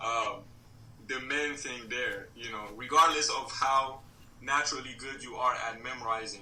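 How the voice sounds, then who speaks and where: A man talks at a moderate pace and a medium pitch, his intonation fairly even. Audible room echo and noticeable background noise are present. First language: Mandingo. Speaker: podcast guest, language learner. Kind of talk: casual interview. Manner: hesitant, many fillers.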